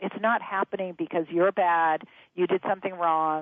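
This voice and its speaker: Here is a woman with an unremarkable speaking voice. Her pitch is medium and her pace moderate. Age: 60s. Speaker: author and change expert. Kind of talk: interview.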